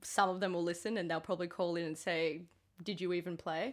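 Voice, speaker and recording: A woman with an Australian accent talks at a very fast pace in a fairly low pitch with monotone, flat intonation, on a very clean recording with a silent background. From Queensland, Sunshine Coast. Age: 30s. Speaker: podcast co-host. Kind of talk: casual chat.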